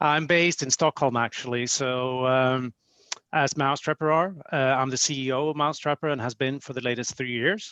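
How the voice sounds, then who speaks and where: Fairly quick speech comes from a man with a Swedish accent and a bright, sharp tone. His intonation is fairly even, and the sound is dry and close with no echo. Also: medium pitch for a man. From Sweden. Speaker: company executive. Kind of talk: podcast interview.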